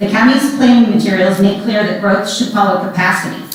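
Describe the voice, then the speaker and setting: A woman with an American accent speaks at a fairly quick pace with a medium pitch and fairly even intonation, over noticeable background noise and audible room echo. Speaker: public commenter, mental health counselor. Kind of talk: public comment at a hearing. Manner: loud.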